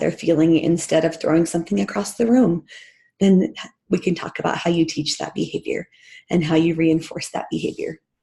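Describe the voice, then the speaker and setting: Vocal fry runs through a woman's fairly low, dark and mellow voice. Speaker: parenting mentor and school behavior specialist. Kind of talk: online training webinar.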